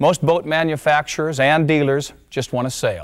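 The setting behind him is quiet. A man's voice is heard. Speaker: presenter. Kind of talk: promotional presentation. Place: studio.

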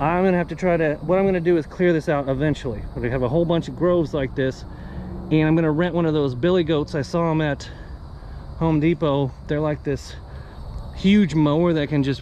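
Delivered at a fairly quick pace with fairly even intonation, the speech has a dry sound with no echo and light background noise. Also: man. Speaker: radio hobbyist. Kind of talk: casual vlog chat. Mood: relaxed, pleased. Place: garden. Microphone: phone near.

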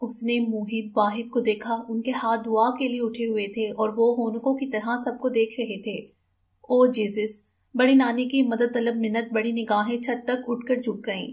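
A woman's fairly high voice, monotone and flat in intonation. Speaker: audiobook narrator. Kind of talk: audiobook narration of a novel, read aloud in literary Urdu.

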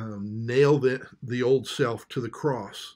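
A man talks very slowly, and the background is quiet. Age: 50s. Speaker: pastor. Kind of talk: sermon. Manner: halting. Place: home room. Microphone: webcam.

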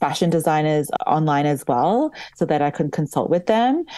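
This woman's voice has a very deep, low pitch and a dark, mellow tone. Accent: Australian. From Australia. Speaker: doll company founder and wedding photographer. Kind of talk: interview.

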